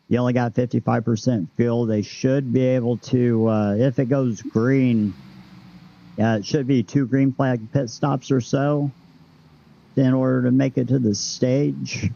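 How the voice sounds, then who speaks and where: The speech moves at a fairly slow pace with fairly even intonation and very even loudness. Noticeable background noise runs underneath. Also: man, medium pitch for a man. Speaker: sim racing broadcast commentator. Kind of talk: live race commentary. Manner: halting with fillers.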